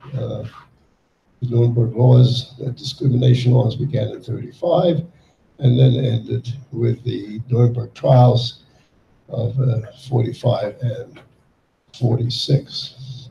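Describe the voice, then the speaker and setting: At a very slow pace with long, frequent pauses, a man speaks in a somewhat breathy, dark, mellow voice with monotone, flat intonation. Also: medium pitch for a man. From Yugoslavia. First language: German. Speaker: Holocaust survivor. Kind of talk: testimony. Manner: halting.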